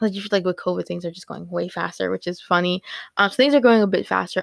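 A woman's raspy put-on character voice at medium pitch, very fast, with big swings in loudness. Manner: calm, mellow, soft-spoken.

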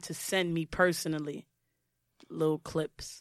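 In a New York accent, a woman with a fairly low voice speaks fairly slowly in a monotone, flat intonation, with a dry, close sound and no echo. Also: very clean recording, silent background. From Brooklyn, New York. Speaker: podcast co-host. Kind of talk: casual chat.

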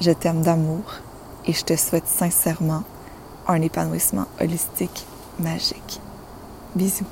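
Fairly slow speech with fairly even intonation and long, frequent pauses, over noticeable background noise. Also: woman, fairly low pitch for a woman. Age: 20s. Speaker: spiritual life coach, podcast host. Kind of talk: solo inspirational monologue.

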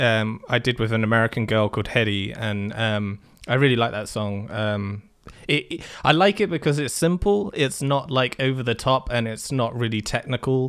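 A man speaks with an English accent. His pace is moderate. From England. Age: 20s. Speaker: music producer. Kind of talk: casual chat. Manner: halting, many fillers.

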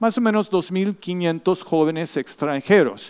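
A man with a high-pitched voice in a dry, close recording free of echo. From Latin America (Mexico, Argentina), US missionary family. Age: 50s. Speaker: missionary and seminary professor, guest preacher. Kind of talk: sermon. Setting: church.

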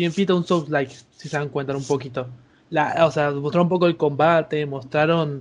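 A man talks with a Rioplatense accent. The background is quiet. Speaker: psychology student, guest. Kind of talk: casual chat. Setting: Skype call.

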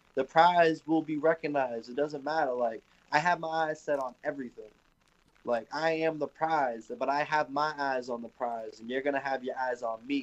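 A man's normal speaking voice, fairly high in pitch, with fairly even intonation. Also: moderate pace. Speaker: pro wrestler. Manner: casual, laid-back, slangy.

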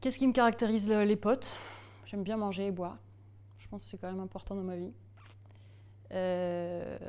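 With a dark, mellow tone and medium pitch, a woman speaks at a moderate pace, showing ordinary pitch variation, big swings in loudness and long, frequent pauses. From Alsace, France (Strasbourg). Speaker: improv actor and puppeteer. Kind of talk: interview.

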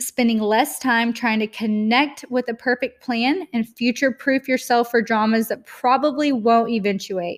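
In a very clean recording with a silent background, a woman talks at a fairly slow pace in a fairly high pitch, her tone animated and her pitch variation ordinary. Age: 20s. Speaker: podcast host, fitness entrepreneur. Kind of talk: solo motivational podcast monologue.

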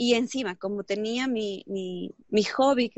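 This woman talks at a fairly high pitch. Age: 30s. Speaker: entrepreneur and network marketer. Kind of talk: interview. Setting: video call. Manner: animated.

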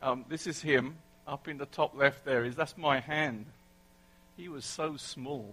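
Speaking with an English accent, a man with a fairly high pitch and bright, sharp tone moves at a fairly slow pace, his fairly even intonation broken by long, frequent pauses and big swings in loudness. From England. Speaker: preacher. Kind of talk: sermon. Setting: church.

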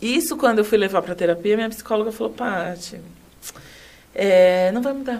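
Fairly high-pitched woman's voice with ordinary pitch variation, a moderate pace, and long, frequent pauses. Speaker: HR consultant and company CEO. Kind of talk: casual interview chat.

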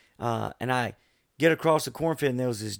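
With an American accent, a man at medium pitch and ordinary pitch variation is heard in a dry, close sound with no echo and a very clean, silent background. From US South, Florida Panhandle. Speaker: air force veteran. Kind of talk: casual chat with storytelling. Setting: studio.

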